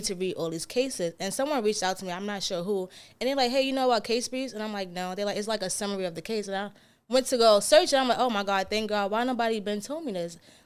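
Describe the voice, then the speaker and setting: Very fast pace with ordinary pitch variation. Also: woman, medium pitch for a woman. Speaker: law student. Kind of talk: casual podcast conversation.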